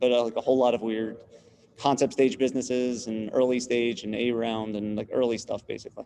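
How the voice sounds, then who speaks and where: A man talks with a New York accent at a fairly quick pace. His dark, mellow tone stays at a medium pitch in a flat monotone. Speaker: business consultant, student. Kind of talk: class introductions on video call. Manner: fast; direct.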